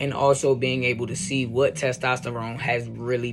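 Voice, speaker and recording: Music plays behind a man who speaks at medium pitch with fairly even intonation. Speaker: video blogger. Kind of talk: vlog monologue. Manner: casual, halting with fillers.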